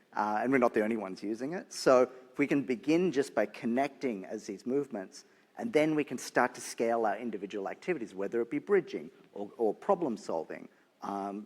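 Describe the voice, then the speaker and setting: The pace stays moderate. Intonation rises and falls in a lively way. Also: man. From Australia. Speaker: nonprofit leader. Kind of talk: panel discussion.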